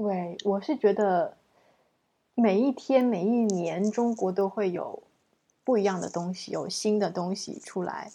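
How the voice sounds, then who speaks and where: A woman's dark, mellow tone at a medium pitch and fairly slow pace, over a quiet background. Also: ordinary pitch variation. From China. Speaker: language teacher podcast host. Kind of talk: interview.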